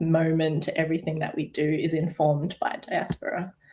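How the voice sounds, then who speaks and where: A woman in an Australian accent, fairly low-pitched and fairly slow. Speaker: artist. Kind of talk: panel discussion.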